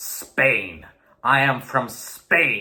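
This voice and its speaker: A man uses a growling, put-on character voice. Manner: proud, patriotic.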